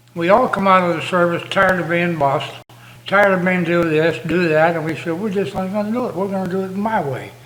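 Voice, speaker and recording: A man talks very fast at a high pitch with fairly even intonation. Room echo is audible, along with noticeable background noise. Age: 90s. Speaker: war veteran. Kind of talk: casual chat.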